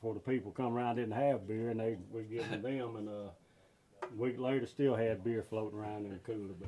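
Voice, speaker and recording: With light background noise behind him, a man speaks at a fairly quick pace in a monotone, flat intonation. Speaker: TV show host. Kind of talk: casual conversation. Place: shop.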